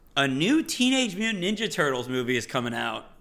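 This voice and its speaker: A man talks with lively intonation and a bright, sharp tone. His pitch sits fairly high. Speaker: podcast co-host. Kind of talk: casual chat. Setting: live stream with chat.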